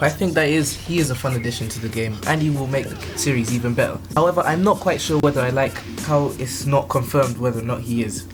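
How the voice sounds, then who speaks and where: A man at a very fast pace with lively intonation, music in the background. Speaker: gaming commentary YouTuber. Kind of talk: casual video game commentary.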